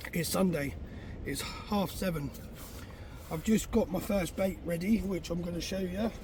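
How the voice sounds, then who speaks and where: Against noticeable background noise, a man with a southern English accent talks at a moderate pace in a high voice, with fairly even intonation and long, frequent pauses. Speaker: fishing vlogger. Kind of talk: casual vlog narration.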